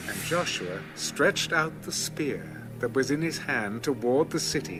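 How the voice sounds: Clear music plays behind a voice that moves at a fairly slow pace with big pitch swings. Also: man.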